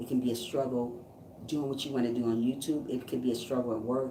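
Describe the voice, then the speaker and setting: A woman's very deep, low voice at a fairly quick pace, with fairly even intonation, audible room echo and noticeable background noise. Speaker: YouTube live streamer and motivational speaker. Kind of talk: motivational live stream chat. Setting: live stream. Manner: fast; stumbling over words.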